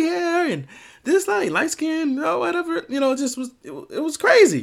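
In an American accent, the speaker's pitch swings very widely on a very clean recording with a silent background. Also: man. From Miami, Florida. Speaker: podcast host. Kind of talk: solo opinion commentary.

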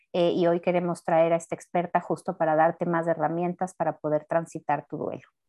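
A woman is speaking. Her pace is fairly quick. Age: 30s. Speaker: podcast host and therapist. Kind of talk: casual chat.

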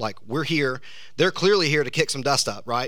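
A man with a Southern US accent talks at a fairly quick pace in a bright, sharp tone. His pitch varies in an ordinary way, and the room echo is audible. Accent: Southern US (Georgia). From US South, South Georgia. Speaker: pastor. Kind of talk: sermon. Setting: church.

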